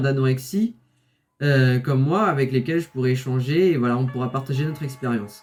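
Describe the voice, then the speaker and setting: Somewhat breathy, a man speaks at a fairly high pitch. His pace is fairly quick, with ordinary pitch variation. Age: 20s. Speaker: fitness coach and youtuber. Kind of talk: channel introduction vlog. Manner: casual with frequent fillers.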